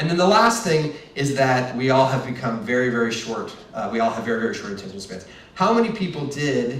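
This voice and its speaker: A man at a moderate pace with lively intonation, amid audible room echo and noticeable background noise. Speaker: marketing executive giving a keynote. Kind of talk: conference presentation.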